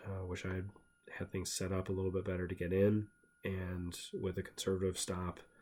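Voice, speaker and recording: A man mumbles at a fairly quick pace in a monotone with flat intonation. His voice is very deep and low, with a dark, mellow tone. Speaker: stock trader. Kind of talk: tutorial. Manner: mumbling; casual, halting.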